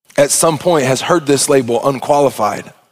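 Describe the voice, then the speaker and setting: This man talks at a fairly quick pace in a fairly high pitch. His tone is animated, with an Arkansas accent. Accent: Southern US (Arkansas). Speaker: pastor. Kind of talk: sermon. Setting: church.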